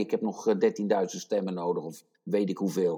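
A man talks at a moderate speed in a very clean recording with a silent background. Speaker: podcast co-host. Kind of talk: casual chat.

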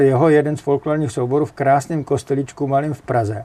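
Pitched fairly high, this man's voice has a dark, mellow tone. He talks at a moderate pace. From Czechia, northern Moravia (Jeseník). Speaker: architectural photographer. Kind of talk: interview. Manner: energetic; halting, with repetitions.

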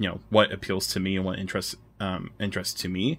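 On a very clean recording with a silent background, a man talks in a fairly low voice. His tone is bright and sharp. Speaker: anime YouTuber. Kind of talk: casual chat.

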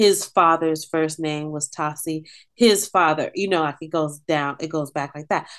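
Warm, animated tone with an American accent, ordinary pitch variation and a quiet background. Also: woman. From San Francisco Bay Area, US. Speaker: singer and performing artist. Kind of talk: casual interview conversation. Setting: video call. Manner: warm, animated, laughs often.

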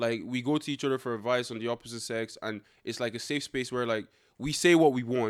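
Animated in tone, a man speaks at medium pitch in a very clean recording with a silent background. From Ireland, Dublin (born in Nigeria, left at about three). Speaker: reality TV contestant. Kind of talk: casual chat. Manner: animated, joking.

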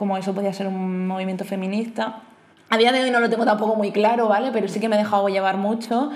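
With audible room echo, a woman talks at a fairly quick pace in a medium pitch, her intonation monotone and flat. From Murcia, Spain. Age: 30s. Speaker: podcast guest, host's flatmate. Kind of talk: casual chat.

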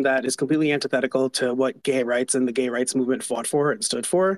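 This man speaks at a very fast pace with an American accent. His pitch sits fairly high. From New York. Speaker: advocacy group writer. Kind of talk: online panel discussion.

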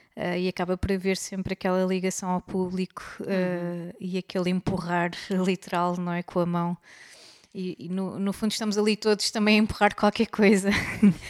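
Recorded with a dry, close sound and no echo, a woman speaks at a moderate pace and a medium pitch, her intonation monotone and flat. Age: 30s. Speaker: podcast co-host. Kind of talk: casual chat.

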